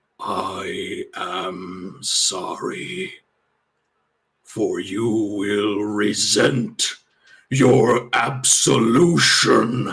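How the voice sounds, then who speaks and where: Putting on a raspy character voice at a medium pitch, a man speaks very slowly with long, frequent pauses. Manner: solemn, ominous.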